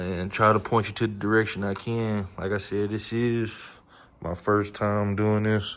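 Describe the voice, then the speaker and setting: With audible room echo, a man talks at a fairly slow pace in a fairly low pitch, his intonation monotone and flat. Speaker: amateur car mechanic, YouTuber. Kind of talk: casual repair tutorial. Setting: home garage.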